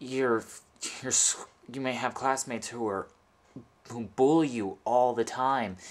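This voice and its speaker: A man's medium-pitched voice at a fairly slow pace, with fairly even intonation and long, frequent pauses. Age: 20s. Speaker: LGBT youth support video maker. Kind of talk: personal testimony to camera. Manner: halting, many false starts and repetitions.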